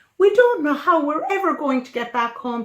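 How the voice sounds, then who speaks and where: Pitched high, a woman performs in a put-on character voice. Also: moderate pace. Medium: read story.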